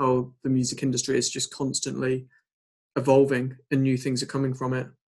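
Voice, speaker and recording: Monotone, flat intonation marks this man's medium-pitched speech in an English accent. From England. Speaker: podcast host and band drummer. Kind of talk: casual interview.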